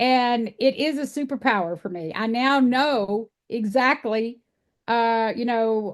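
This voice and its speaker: A woman's fairly high voice in a Texas accent, fairly slow, with ordinary pitch variation against a quiet background. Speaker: animal sanctuary founder. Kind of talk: podcast interview.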